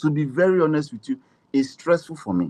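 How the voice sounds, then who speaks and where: A man at a fairly quick pace, dry and close with no echo. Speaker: voiceover artist and coach. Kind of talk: casual interview chat. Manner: conversational, mixes pidgin into English.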